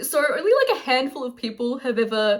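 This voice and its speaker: Here is a woman with an Australian accent. She talks at a fairly quick pace and a fairly high pitch. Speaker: artist and crafter vlogger. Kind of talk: casual vlog talk to camera. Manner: fast.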